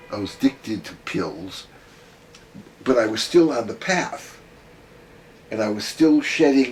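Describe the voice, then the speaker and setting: With long, frequent pauses and big swings in loudness, a man speaks at a fairly slow pace and with lively intonation over noticeable background noise. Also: medium pitch for a man. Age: 80s+. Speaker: gestalt therapist. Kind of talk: interview.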